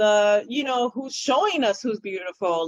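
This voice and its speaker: A woman speaks at a moderate pace with a fairly high pitch and ordinary pitch variation. The sound is dry and close, with no echo. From Dominican Republic, raised in New York City. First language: Spanish. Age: 40s. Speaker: children's book author. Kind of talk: interview conversation.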